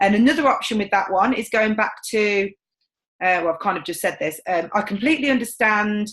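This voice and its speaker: A woman with a fairly high voice sounds confident and passionate, moving at a fairly quick pace with ordinary pitch variation. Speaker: sales team trainer. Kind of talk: training session. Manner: loud and confident.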